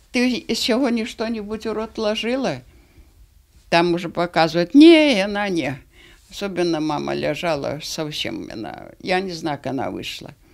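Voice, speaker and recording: A woman speaks at a fairly slow pace, with long, frequent pauses and very wide pitch swings. Her loudness swings a lot against a quiet background. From Belarus. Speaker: concentration camp survivor. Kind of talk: testimony. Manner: halting. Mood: grave, sorrowful remembering. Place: home room. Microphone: handheld.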